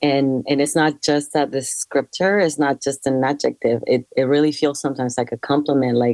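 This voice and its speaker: A woman's very deep, low voice at a moderate pace, hardly any pauses, fairly even intonation and very even loudness, dry and close with no echo against a quiet background. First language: not English. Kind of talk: casual group chat.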